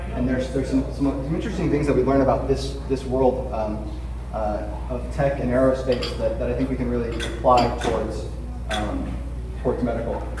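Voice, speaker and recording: Over noticeable background noise and audible room echo, a man with an American accent talks at a fairly quick pace. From US West Coast (Los Angeles). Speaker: patient advocate speaker. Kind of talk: conference presentation. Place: hall. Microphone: camera far.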